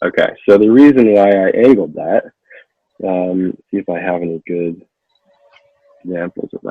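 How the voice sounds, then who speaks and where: Here a man speaks with a fairly low pitch. It varies in an ordinary way. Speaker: props and costume artisan. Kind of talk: tutorial. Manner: fast.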